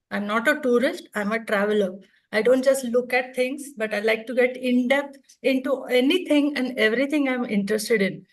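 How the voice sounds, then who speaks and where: A woman talks in a high pitch at a moderate pace. Her pitch varies in an ordinary way, and the room echo is audible. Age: 60s. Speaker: retired orthodontist, speaker. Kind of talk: conference talk.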